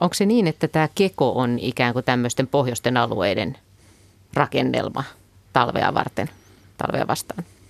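Delivered at a moderate pace with very even loudness, this voice has vocal fry, lively intonation and long, frequent pauses, in a dry, close sound with no echo. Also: man, medium pitch for a man. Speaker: radio host. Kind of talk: radio talk show. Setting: studio.

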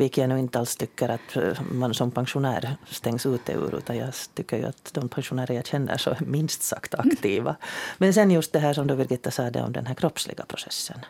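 Through noticeable background noise, a woman with a very deep, low voice talks at a fairly quick pace. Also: ordinary pitch variation. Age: 60s. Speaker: radio host. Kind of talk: radio panel discussion. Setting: studio.

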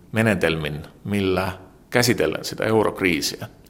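With an Estonian accent, a man talks at a very slow pace. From Estonia, Tallinn. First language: Estonian (speaking Finnish). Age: 40s. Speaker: journalist. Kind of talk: interview. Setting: newspaper office. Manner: halting.

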